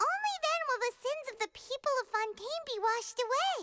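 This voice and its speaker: A squeaky put-on character voice sits at an extremely high pitch. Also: moderate pace. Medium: video game. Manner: earnest, deductive.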